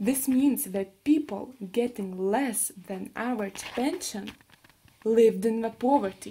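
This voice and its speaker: With a Lithuanian accent, a woman speaks at a fairly slow pace and a fairly high pitch. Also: ordinary pitch variation. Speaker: university student. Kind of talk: class presentation.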